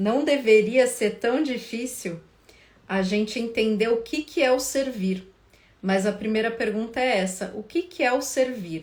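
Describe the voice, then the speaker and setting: A soft-spoken woman talks at a fairly slow pace. Her pitch is fairly high, with ordinary pitch variation. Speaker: couples therapist. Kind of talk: live stream talk. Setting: Instagram live. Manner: casual.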